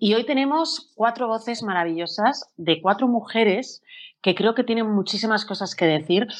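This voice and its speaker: Over a quiet background, an ordinary speaking voice moves at a moderate pace with lively intonation. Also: woman, fairly high pitch for a woman. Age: 40s. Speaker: presenter and journalist. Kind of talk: panel moderation.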